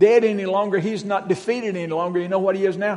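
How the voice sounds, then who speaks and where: Noticeable background noise runs through the clip. Room echo is audible as well. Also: man. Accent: Southern US. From Western North Carolina. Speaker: guest preacher. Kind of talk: sermon. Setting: church.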